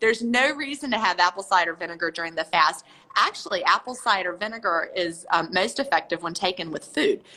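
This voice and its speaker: This normal speaking voice moves at a fairly quick pace with lively intonation. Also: woman, medium pitch for a woman. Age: 50s. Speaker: author. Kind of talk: interview.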